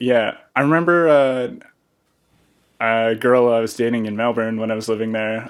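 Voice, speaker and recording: With a slight Australian accent, a medium-pitched man speaks at a moderate pace, his intonation fairly even and his pauses long and frequent. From western Canada (British Columbia). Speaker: podcast host and DJ. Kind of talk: casual chat.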